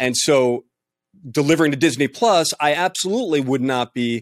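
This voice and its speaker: A man with a plain, everyday voice speaks at a medium pitch, his intonation lively. The sound is dry and close with no echo, on a very clean recording with a silent background. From New York City. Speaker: colorist. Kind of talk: casual roundtable discussion.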